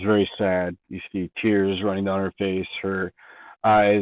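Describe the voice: A quiet background behind plain reading aloud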